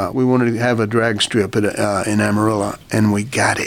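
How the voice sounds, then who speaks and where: Against noticeable background noise, a man talks fairly quickly at medium pitch in a flat monotone. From Oklahoma. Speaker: advertising executive and author. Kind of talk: casual interview. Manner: halting.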